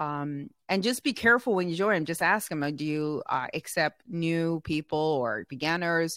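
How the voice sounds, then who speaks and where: In a plain, everyday voice, a woman with a fairly low pitch talks at a fairly slow pace with lively intonation and hardly any pauses, recorded very clean with a silent background and a dry, close sound with no echo. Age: 50s. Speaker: entrepreneur and sales trainer, Air Force veteran. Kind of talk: interview.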